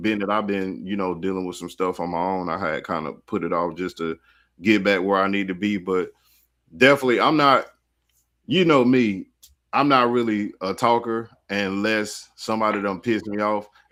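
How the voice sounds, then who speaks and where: A man speaks at a moderate pace in a fairly low pitch with ordinary pitch variation. The recording is very clean, with a silent background. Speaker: DJ and podcast host. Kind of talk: casual chat. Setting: livestream. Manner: laid back.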